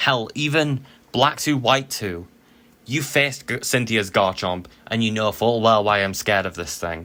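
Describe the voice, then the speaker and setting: In a very clean recording with a silent background, a man with a bright, sharp tone speaks at a medium pitch and a moderate pace, with ordinary pitch variation. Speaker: Pokemon draft league player and YouTuber. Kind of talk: casual gaming commentary. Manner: casual, with filler ums.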